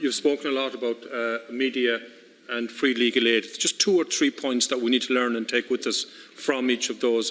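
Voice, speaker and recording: A man's medium-pitched voice in a western Irish accent, with fairly even intonation at a moderate pace. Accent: west of Ireland Irish. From Ireland, Connemara Gaeltacht, County Galway. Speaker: senator. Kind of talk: question at parliamentary committee hearing.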